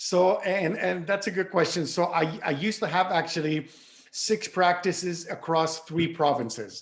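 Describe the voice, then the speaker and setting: This man's voice sits high and holds a very even loudness, with ordinary pitch variation. He speaks at a moderate pace over noticeable background noise. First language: French. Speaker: orthodontist and lecturer. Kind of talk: interview. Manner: halting, repeats words.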